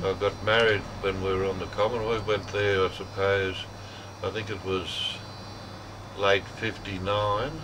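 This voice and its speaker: Speaking at a fairly slow pace, a man uses a fairly low pitch and monotone, flat intonation, with long, frequent pauses. Noticeable background noise is present. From Moree, New South Wales, Australia. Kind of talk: oral history interview answer. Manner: hesitant, reflective.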